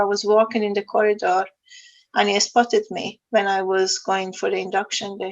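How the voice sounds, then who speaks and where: A woman speaks with an Iranian accent. Her intonation is monotone and flat. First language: Farsi. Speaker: sustainability consultant. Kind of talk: interview.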